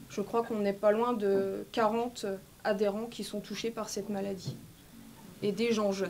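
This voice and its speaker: This woman's delivery is fairly slow. She keeps her intonation flat and monotone. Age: 40s. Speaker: medico-social worker, vaccine injury victim. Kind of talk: testimony. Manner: halting, with many fillers.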